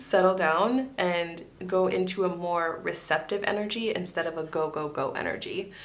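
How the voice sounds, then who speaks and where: A woman talks at a medium pitch with ordinary pitch variation and hardly any pauses. Audible room echo surrounds her voice. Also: moderate pace. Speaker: tarot reader. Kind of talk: psychic tarot reading.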